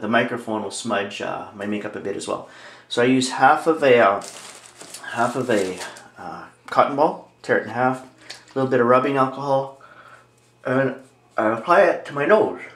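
There is audible room echo as a man speaks at a moderate pace. He uses ordinary pitch variation and long, frequent pauses. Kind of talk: tutorial. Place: home room. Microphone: camera far.

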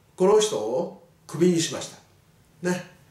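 A man speaking at a fairly slow pace, with audible echo in the room. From Japan. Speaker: teacher. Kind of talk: lecture. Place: classroom.

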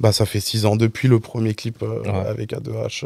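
Heard over a quiet background, a man with a medium-pitched voice speaks at a moderate pace, the sound dry with no echo. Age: 20s. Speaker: music video director; guest. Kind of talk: casual chat. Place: studio. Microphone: studio mic.

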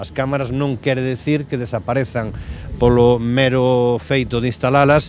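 Light background noise sits behind a man speaking at a moderate pace. The sound is dry with no echo, and his intonation stays fairly even. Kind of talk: interview answer. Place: waterside. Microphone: handheld.

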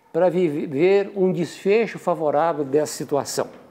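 Dark and mellow, this voice moves with ordinary pitch variation. Its pace is fairly slow. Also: man. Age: 70s. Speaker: retired physician and professor; professor. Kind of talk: testimony. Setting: at home. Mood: indignant. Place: home room. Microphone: lapel.

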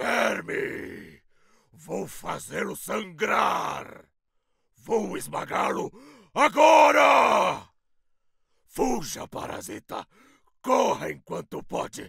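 A raspy, put-on character voice speaks at a very slow pace. Long pauses come often. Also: man. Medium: voice reel. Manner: aggressive, growling.

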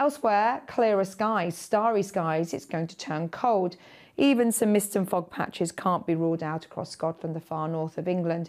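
Here a woman talks in a British accent. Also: quiet background. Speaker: weather presenter. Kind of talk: televised weather forecast, scripted-style delivery over weather maps. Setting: studio. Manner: smooth, measured and friendly, steady broadcast pacing; conversational, guiding viewer through maps. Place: studio.

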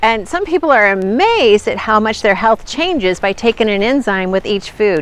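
The intonation is lively and the pace moderate. The sound is dry, with no echo. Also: woman. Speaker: nutrition channel host. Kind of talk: casual vlog chat. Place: forest. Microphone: phone near.

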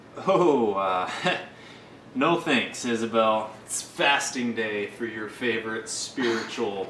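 Over light background noise and audible room echo, a man talks at a very slow pace with ordinary pitch variation. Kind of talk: comic character monologue.

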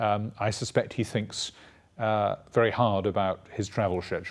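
In a Welsh accent, a man talks at a moderate pace with fairly low pitch against a quiet background. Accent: Welsh-tinged British English. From Wales. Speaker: priest and university dean; priest. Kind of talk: TV interview. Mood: calm, thoughtful. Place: studio.

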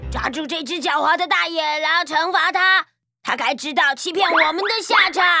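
Here a woman performs a put-on character voice. Her pitch is extremely high and her pace moderate. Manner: angry, commanding.

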